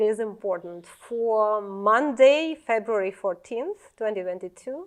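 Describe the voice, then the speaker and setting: A woman speaks with a fairly high pitch. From Ukraine, Zhytomyr. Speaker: Ukrainian refugee. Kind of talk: interview testimony. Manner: halting, many fillers.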